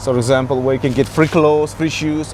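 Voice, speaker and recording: A man talks at a fairly high pitch with fairly even intonation over noticeable background noise. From Georgia (the country). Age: 40s. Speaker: homeless man. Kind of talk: street interview. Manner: halting.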